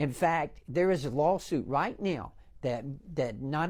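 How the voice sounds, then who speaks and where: A man with an American accent swings very widely in pitch. The recording is very clean, with a silent background. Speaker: congressman and former pharmacist. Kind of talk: TV interview. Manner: animated.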